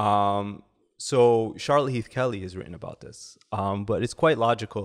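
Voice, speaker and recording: A man with a Canadian accent uses an ordinary speaking voice at medium pitch, with ordinary pitch variation, big swings in loudness and a moderate pace against a quiet background. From Canada. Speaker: academic researcher; podcast guest. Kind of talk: podcast interview. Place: studio. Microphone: studio mic.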